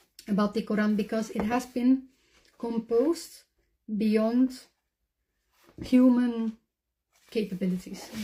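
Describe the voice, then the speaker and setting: With a Dutch accent, a woman speaks in a high pitch with a dark, mellow tone. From Netherlands or Flanders. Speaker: convert to Islam. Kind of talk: testimony.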